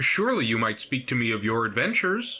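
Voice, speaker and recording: In a put-on character voice, the man rattles along at a very fast pace with lively intonation. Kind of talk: archaic fantasy speech. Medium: video game. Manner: formal, courtly.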